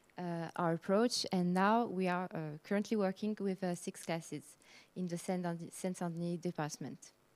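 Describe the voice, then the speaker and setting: A woman with a French accent at a fairly low pitch and moderate pace, with fairly even intonation, on a very clean recording with a silent background. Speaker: heritage association project worker. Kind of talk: conference presentation. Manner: halting, many fillers.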